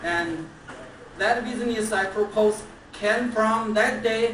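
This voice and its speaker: Speaking very slowly with a non-native accent, a woman has a fairly high pitch and ordinary pitch variation, heard with audible room echo and noticeable background noise. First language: Chinese. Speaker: toastmasters club member. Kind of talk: anniversary speech. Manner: halting.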